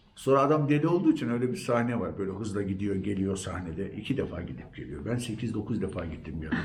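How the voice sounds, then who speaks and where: A man with a medium pitch talks at a fairly quick pace against noticeable background noise. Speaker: storyteller and actor. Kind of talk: interview answer.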